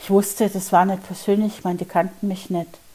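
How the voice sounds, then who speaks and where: Here is a woman with a medium pitch. Her tone is dark and mellow. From Bavaria, Germany. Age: 50s. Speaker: podcast host and mindset coach. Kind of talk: personal storytelling monologue.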